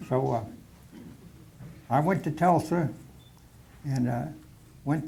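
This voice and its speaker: A man with an American accent speaks in a dark, mellow, somewhat breathy tone at fairly high pitch, with fairly even intonation and audible room echo. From Oklahoma, US. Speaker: war veteran. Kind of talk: personal war reminiscence talk to a society meeting. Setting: meeting hall with audience. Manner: halting, many fillers.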